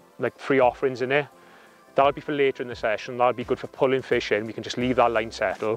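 A man's voice sounds dry with no echo, with faint music playing in the background. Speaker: presenter. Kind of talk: tutorial. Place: waterside.

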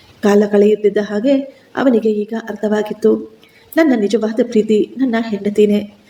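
The clip features an unforced reading voice.

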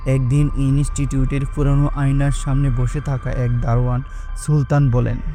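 Over music in the background, a man speaks in a fairly high pitch with monotone, flat intonation. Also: very even loudness. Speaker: voice artist and narrator. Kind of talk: horror audio story narration.

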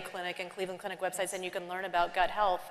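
A woman speaks over light background noise. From US South. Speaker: biotech company CEO and scientist. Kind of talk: panel conversation on stage. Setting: conference stage with audience. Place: stage. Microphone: lapel.

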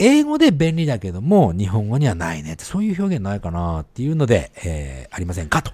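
A man talks at a fairly quick pace, his voice somewhat breathy. His pitch swings very widely and his loudness shifts a lot. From Japan. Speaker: podcast co-host. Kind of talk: casual chat.

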